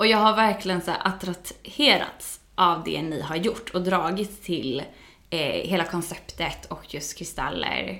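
A woman's unremarkable speaking voice, fairly low in pitch, with ordinary pitch variation and a fairly slow pace. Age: 30s. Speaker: yoga teacher. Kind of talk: casual chat.

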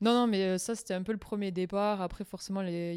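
Fairly even intonation carries a plain, everyday voice. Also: woman. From southwestern France. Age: 20s. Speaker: former expatriate. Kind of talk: casual chat.

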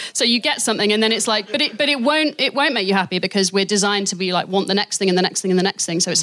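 Very fast speech from a woman at a medium pitch, her loudness very even, over noticeable background noise. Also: hardly any pauses. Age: 30s. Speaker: poet and theatre maker. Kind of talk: casual chat; poetry performance. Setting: stage with audience.

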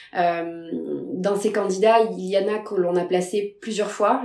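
A woman's medium-pitched voice holds fairly even intonation while noticeable background noise carries on. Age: 30s. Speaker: recruiter. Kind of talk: interview.

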